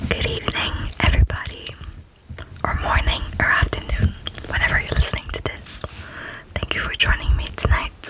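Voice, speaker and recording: Whispered speech from a woman, with noticeable noise in the background. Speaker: ASMR content creator. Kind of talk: ASMR fact-listing, relaxing talk.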